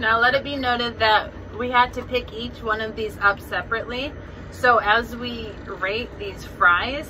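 Amid light background noise, a woman speaks at a fairly slow pace with fairly even intonation. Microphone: phone near.

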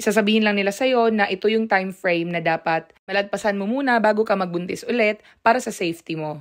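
An unremarkable speaking voice from a woman, medium in pitch and fairly quick in pace. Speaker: vlogger and new mother. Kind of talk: vlog narration.

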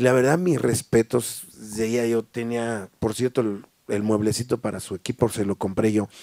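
A man with a dark, mellow tone talks at a moderate pace, the sound dry with no echo and the background quiet. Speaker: sound system owner; interviewee. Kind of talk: casual interview. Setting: livestream from warehouse. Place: studio. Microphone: handheld.

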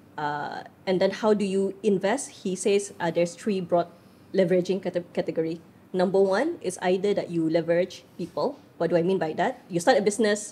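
The woman's ordinary pitch variation comes at a fairly quick pace. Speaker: podcast guest. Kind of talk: interview answer. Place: studio. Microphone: studio mic.

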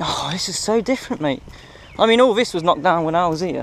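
A man speaks at a fairly quick pace in a high voice with ordinary pitch movement. The sound is dry with no echo, and there is light background noise. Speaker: urban explorer vlogger. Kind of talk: casual vlog chat. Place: open country. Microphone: phone near.

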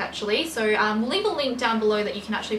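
A woman speaks at a very fast pace with fairly high pitch. Background noise is clearly present.

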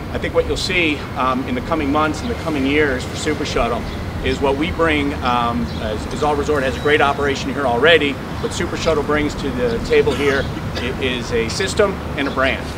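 Fairly quick speech over loud background noise. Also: man, ordinary pitch variation. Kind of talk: ceremony speech. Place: street.

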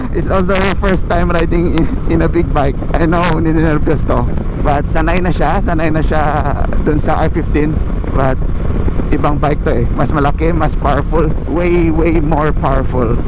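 Loud background noise fills the dry, echo-free recording as the speech moves at a moderate pace. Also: man. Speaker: motorcycle vlogger riding with passenger. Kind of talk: casual moto vlog commentary. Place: motorbike. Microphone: helmet.

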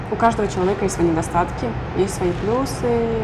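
Noticeable background noise fills the recording. Over it, a woman talks at a moderate pace. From Uzbekistan. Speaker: beauty queen and student. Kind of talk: interview. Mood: calm, reflective.

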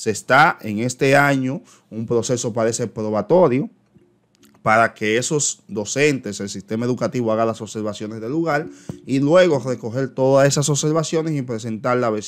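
A man at a moderate pace, with pitch that varies in an ordinary way. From Dominican Republic. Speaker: teacher and education YouTuber; teacher explaining a circular. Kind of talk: educational commentary on an official circular. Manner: hesitant, frequent filler eh. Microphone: webcam.

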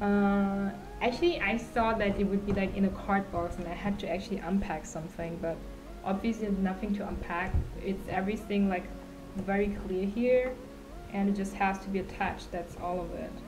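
Clear music plays in the background as a woman speaks at a moderate pace with fairly even intonation. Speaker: streamer. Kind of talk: casual livestream chat. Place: home room. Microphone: studio mic.

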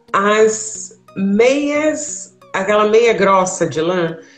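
A woman talks as faint music sounds in the background. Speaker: travel tips host. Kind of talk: casual conversation giving advice. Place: home room. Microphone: video call.

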